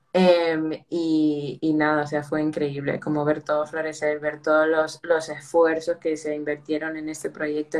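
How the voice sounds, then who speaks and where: A woman speaks with a very deep, low pitch at a fairly slow pace. Her intonation is monotone and flat. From United States, Peruvian family. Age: 20s. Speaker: mental health project organizer. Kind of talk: casual interview.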